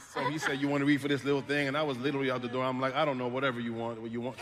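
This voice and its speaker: A man talks at a very fast pace with hardly any pauses, his voice fairly high, over noticeable background noise. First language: French. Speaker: voice actor. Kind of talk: panel discussion.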